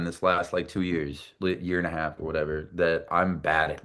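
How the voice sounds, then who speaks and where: Over a quiet background, a man talks at a fairly quick pace. His very deep, low pitch carries a bright, sharp tone. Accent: American. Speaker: singer-songwriter. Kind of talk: casual interview chat. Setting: podcast interview. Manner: animated, repeats words.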